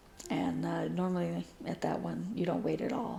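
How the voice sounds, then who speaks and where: A woman speaks at a fairly slow pace. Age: 60s. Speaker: cross-stitch video blogger. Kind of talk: casual chat. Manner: hesitant, many fillers.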